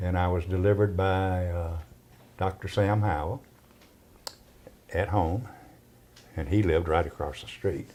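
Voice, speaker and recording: Speaking at a moderate pace in a Southern US accent, the voice keeps fairly even intonation and takes long, frequent pauses. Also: man, very deep, low pitch for a man. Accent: Southern US (Georgia). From US South, Georgia (Cartersville). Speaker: oral history interviewee. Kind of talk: oral history interview. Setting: at his home.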